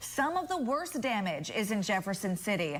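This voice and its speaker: With music in the background, a woman with an American accent talks at a moderate pace, her pitch swinging very widely. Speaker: television news anchor and reporter. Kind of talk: TV news anchor delivery.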